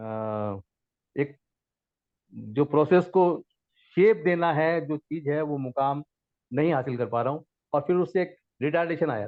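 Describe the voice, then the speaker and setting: Leaving long, frequent pauses, a man with a fairly high pitch speaks with lively intonation. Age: 60s. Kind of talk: study group discussion.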